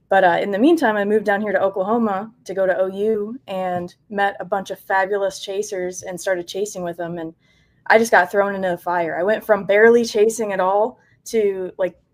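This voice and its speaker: A woman with an American accent and a normal speaking voice, medium-pitched, at a fairly quick pace. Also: fairly even intonation. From Michigan, US Midwest. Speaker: storm chaser and meteorology student. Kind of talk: podcast interview.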